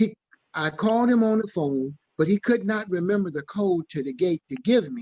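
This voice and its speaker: A man speaks at a high pitch and moderate pace. His intonation is lively. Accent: Southern US. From Mississippi, US South. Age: 70s. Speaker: church member asking questions. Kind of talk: community Q&A discussion. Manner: halting.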